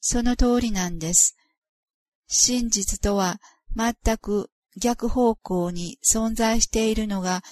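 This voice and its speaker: The sound is dry and close with no echo as a woman speaks in a fairly high, somewhat breathy voice. Her intonation stays fairly even. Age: 50s. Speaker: author of a spiritual memoir. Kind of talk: reading aloud.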